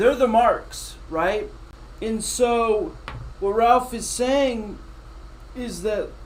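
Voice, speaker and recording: The speech moves at a very slow pace, broken by long, frequent pauses. Loudness swings widely, and there is audible room echo. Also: man. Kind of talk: casual chat reacting to a replayed interview. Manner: halting, stumbling over words.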